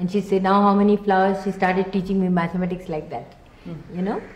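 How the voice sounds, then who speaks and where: Audible room echo marks this recording. The speaker is a woman. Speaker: interviewee. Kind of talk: interview answer. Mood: warm, fond reminiscence. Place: home room.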